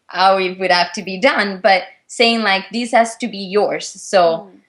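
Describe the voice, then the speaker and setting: A woman with an Italian accent, medium in pitch. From Italy. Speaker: figure skater. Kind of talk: interview. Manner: halting.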